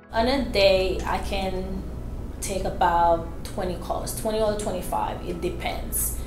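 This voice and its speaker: A woman speaks at a very slow pace with music in the background. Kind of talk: interview answer. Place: office.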